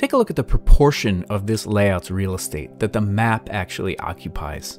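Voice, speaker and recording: A man talks at a moderate speed while faint music plays behind him. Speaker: map design instructor. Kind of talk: tutorial.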